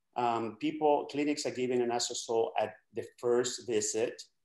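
A man speaks with a dark, mellow tone. There is audible room echo over a quiet background. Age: 60s. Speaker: doctor; guest. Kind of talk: casual chat. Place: home room. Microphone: webcam.

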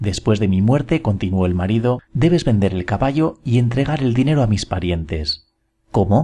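A dark, mellow, somewhat breathy voice with lively intonation at a moderate pace. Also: man. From Spain. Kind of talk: short story reading.

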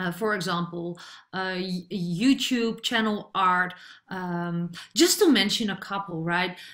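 Against a quiet background, a woman with a Dutch accent talks at a very slow pace, her medium pitch held in fairly even intonation. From Netherlands. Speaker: online marketer; online business coach. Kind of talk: tutorial. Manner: hesitant, many fillers.

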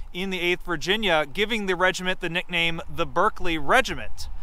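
With a bright, sharp tone and high pitch, a man speaks with ordinary pitch variation in a dry sound with no echo. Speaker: heritage organization presenter. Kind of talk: guided heritage tour presentation. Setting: outdoors on location. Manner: heavy 'um' and 'uh' fillers. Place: open country. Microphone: phone near.

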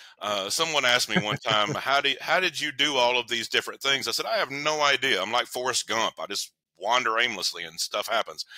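Against a quiet background, a man with an East Tennessee accent speaks at a moderate pace, his tone bright and sharp and the sound dry with no echo. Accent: Southern US (East Tennessee). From US South, Knoxville, Tennessee. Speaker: counselor and relationship author. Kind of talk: interview. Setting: remote call. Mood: reflective, personal storytelling. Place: home room.

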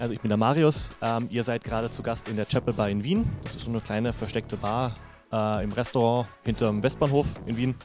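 Over clear background music, a man talks at a fairly quick pace with fairly even intonation and a dry sound with no echo. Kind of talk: interview answer. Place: bar. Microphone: handheld.

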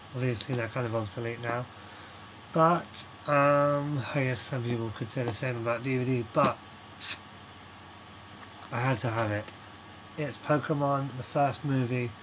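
A man mumbling in a British accent at a moderate pace, with fairly even intonation, long, frequent pauses and light background noise. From United Kingdom. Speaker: video blogger. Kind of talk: casual talk to camera. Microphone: webcam.

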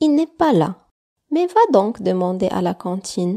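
At a very slow pace, a woman speaks in a warm, gentle, dark and mellow tone at a medium pitch, with very wide pitch swings. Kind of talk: bedtime story narration for children. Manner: gentle, soothing storyteller; slow, warm, softly dramatized with hushed whispers for the characters.

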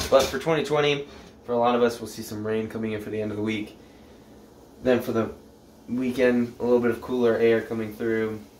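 Over light background noise and audible room echo, a man talks at a fairly quick pace with fairly even intonation. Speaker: presenter. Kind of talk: casual forecast vlog. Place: kitchen.

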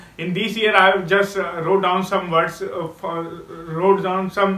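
The man's voice is high-pitched and monotone, with flat intonation. Audible room echo surrounds it. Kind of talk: casual speaking practice monologue. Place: home room.

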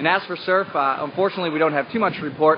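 The speech moves at a fairly quick pace with fairly even intonation. Faint background noise can be heard. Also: man.

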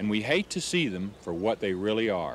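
A man talks at a moderate pace. The sound is dry with no echo, with light background noise. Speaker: nature documentary host. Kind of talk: documentary narration to camera. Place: waterside.

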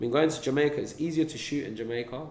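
A man with a London accent talks at a very fast pace with ordinary pitch variation. The room echo is audible, and there is light background noise. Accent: London multicultural English. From London, England. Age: young. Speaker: film director; interviewee. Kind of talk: interview; interview answer. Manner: casual, with many fillers. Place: meeting room.

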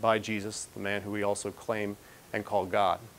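At a moderate pace, a man is talking. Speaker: priest lecturer. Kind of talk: lecture. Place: hall.

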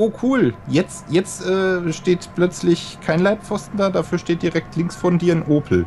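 A man with a high pitch speaks at a very slow pace with hardly any pauses, very even loudness and ordinary pitch variation, over noticeable background noise. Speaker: co-player in let's play. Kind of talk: casual chat while gaming. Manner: joking, teasing.

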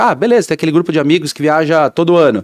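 Against a quiet background, a man is speaking. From São Paulo city, Brazil; Brazil. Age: 30s. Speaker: business owner; podcast guest. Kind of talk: interview. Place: studio. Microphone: studio mic.

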